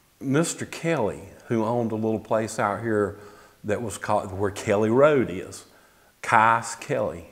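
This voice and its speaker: Fairly slow speech in an American accent. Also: man. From Apex, North Carolina (US South). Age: 60s. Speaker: local resident sharing memories. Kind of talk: oral history interview. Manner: conversational, with hesitations.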